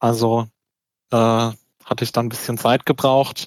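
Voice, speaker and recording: The delivery is monotone and flat, at a moderate pace, with a dry, close sound and no echo. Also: man. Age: 20s. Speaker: local election candidate, law student. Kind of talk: interview. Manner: hesitant, many filler words.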